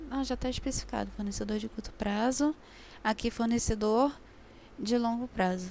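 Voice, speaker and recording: Somewhat breathy and fairly high-pitched, a woman speaks at a moderate pace with fairly even intonation and long, frequent pauses. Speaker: accounting tutor. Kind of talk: online review class.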